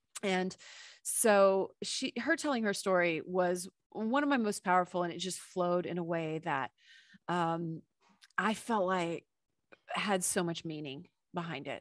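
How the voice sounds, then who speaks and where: A woman with an unremarkable speaking voice, a fairly slow pace and ordinary pitch variation. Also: very clean recording, silent background. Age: 40s. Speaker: podcast host and radio personality. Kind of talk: interview answer.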